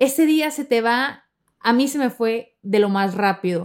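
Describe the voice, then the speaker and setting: A woman with a high pitch speaks at a fairly slow pace with lively intonation. The recording is very clean, with a silent background. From Mexico, Sonora. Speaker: podcast host. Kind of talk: personal storytelling monologue.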